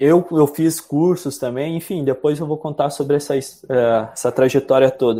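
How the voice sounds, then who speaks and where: A man with a fairly high voice speaks at a fairly slow pace with hardly any pauses, his tone dark and mellow and his intonation fairly even, in a very clean recording with a silent background. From southern Brazil, Rio Grande do Sul (Carazinho). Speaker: podcast guest, self-development student. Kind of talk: casual chat.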